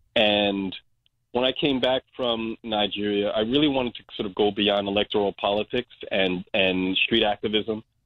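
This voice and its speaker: Fairly low-pitched, a man with an ordinary speaking voice talks at a moderate pace. His intonation stays fairly even. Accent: American. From Brooklyn, New York. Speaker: community organization director. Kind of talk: interview.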